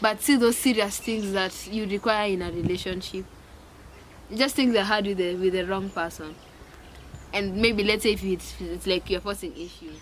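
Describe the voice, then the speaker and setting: An unremarkable speaking voice, a woman's at medium pitch, moves at a moderate pace with ordinary pitch variation. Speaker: YouTuber. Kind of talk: casual chat.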